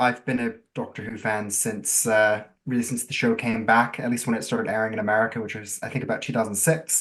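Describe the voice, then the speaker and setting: The man's normal speaking voice, medium in pitch, moves at a fairly quick pace with ordinary pitch variation. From US, Florida. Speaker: writer. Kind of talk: interview.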